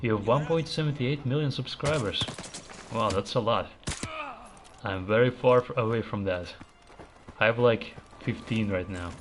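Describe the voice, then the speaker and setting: At a moderate pace with ordinary pitch variation, the speaker leaves long, frequent pauses over noticeable background noise. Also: man, medium pitch for a man. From Latvia. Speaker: gaming streamer. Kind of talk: live gameplay commentary. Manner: casual, conversational.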